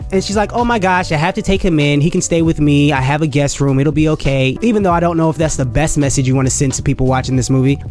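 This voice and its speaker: Very fast, fairly high-pitched male speech with hardly any pauses, very even loudness, ordinary pitch variation and music in the background. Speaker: movie reviewer. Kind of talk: casual movie review talk.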